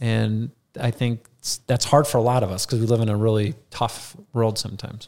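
With an Upper Midwest accent, a man speaks at a medium pitch and a moderate pace. His intonation is fairly even on a very clean recording with a silent background. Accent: Upper Midwest American. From Minnesota (Rochester). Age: 40s. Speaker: financial advisor. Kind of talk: casual interview storytelling. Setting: studio.

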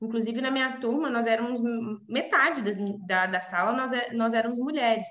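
Audible room echo and noticeable background noise surround a woman with a fairly high pitch and ordinary pitch variation. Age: 20s. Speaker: civil engineer. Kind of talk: interview. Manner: halting.

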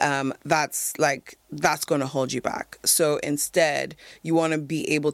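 A woman speaks at a very deep, low pitch with fairly even intonation. The recording is very clean, with a silent background. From Nigeria. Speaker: confidence coach. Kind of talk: podcast interview.

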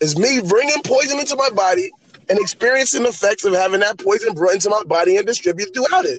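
Lively intonation and a high pitch mark this man's very fast speech. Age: 30s. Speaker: aspiring rapper. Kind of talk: casual chat.

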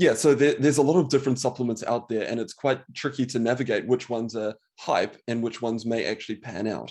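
A man with a New Zealand accent talks at a fairly quick pace in a medium pitch. His tone is dark and mellow, and his intonation is fairly even. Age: 30s. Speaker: medical doctor. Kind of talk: interview.

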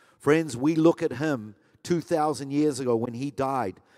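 A man speaks fairly slowly at a fairly high pitch, with a dark, mellow tone and ordinary pitch variation. The recording is very clean, with a silent background. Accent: New Zealand. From New Zealand. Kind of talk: sermon. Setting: church.

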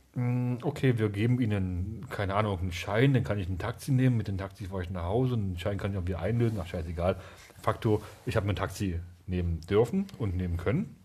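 At a very fast pace, a man talks in a fairly low pitch, somewhat breathy, with ordinary pitch variation. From eastern Germany. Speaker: podcast co-host. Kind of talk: casual chat.

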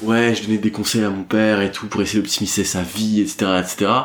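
A man with a normal speaking voice and a fairly low pitch talks at a moderate pace. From northern France (Dunkirk). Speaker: entrepreneur. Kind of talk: casual interview.

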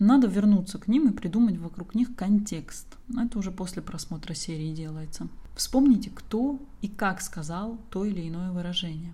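Medium-pitched and somewhat breathy, a woman's voice has a dark, mellow tone, ordinary pitch variation and big swings in loudness. She talks at a moderate pace with audible room echo. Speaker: language teacher and online school founder. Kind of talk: solo podcast monologue.

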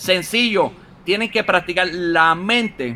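Here a man speaks at a high pitch with a bright, sharp, animated tone. His pace is fairly slow. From Puerto Rico, Utuado. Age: 30s. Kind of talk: casual interview.

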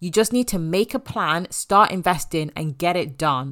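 Lively intonation from a woman with an English accent at medium pitch and a fairly slow pace, on a very clean recording with a silent background. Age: 20s. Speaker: podcast host and money coach. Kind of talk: solo podcast monologue. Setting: home office.

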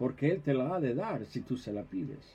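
A man speaks at a fairly slow pace in a dark, mellow tone. His voice is somewhat breathy. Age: 70s. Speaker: pastor. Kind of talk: sermon. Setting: office livestream.

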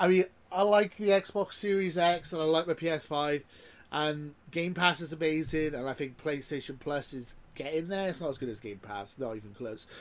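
The speaker has a British accent and lively intonation. Loudness swings widely at a moderate pace. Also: man, fairly high pitch for a man. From UK. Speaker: gaming podcast host. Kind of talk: casual chat. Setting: video call.

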